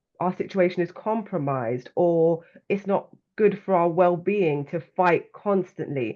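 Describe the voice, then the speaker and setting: In a London accent, a woman speaks at a fairly slow pace and a fairly low pitch with ordinary pitch variation. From London, England. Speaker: well-being coach and author. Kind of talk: interview conversation.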